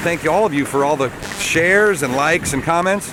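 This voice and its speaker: A man speaks in an animated tone at a fairly high pitch, with noticeable background noise behind him. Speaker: sailing race commentator. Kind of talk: live commentary. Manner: loud.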